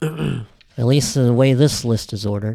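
Ordinary pitch variation marks a man's medium-pitched voice with a dark, mellow tone. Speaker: podcast co-host. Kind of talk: casual chat. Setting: studio.

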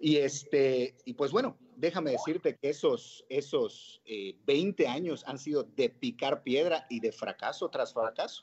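The voice has lively intonation at a very slow pace. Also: man. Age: 30s. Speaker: restaurant entrepreneur. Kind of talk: interview. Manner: hesitant, many fillers.

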